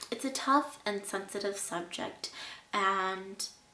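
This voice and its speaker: A woman talks fairly slowly in a medium pitch, her pitch varying in an ordinary way. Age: 20s. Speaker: abuse survivor vlogger. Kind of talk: personal testimony and advice.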